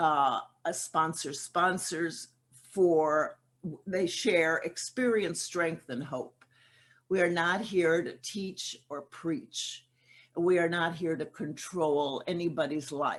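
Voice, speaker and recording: A woman speaks at a very slow pace with ordinary pitch variation. The background is quiet. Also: fairly low pitch for a woman. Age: 80s+. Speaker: twelve-step program speaker. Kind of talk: recovery testimony talk. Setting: virtual convention session. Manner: halting.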